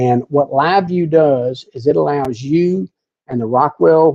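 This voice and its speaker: With an American accent, a man speaks at a fairly slow pace in a normal speaking voice, fairly high with ordinary pitch variation, in a dry, close sound with no echo. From US South. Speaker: technical services specialist. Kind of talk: webinar presentation. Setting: online webinar. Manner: casual, many fillers and repetitions.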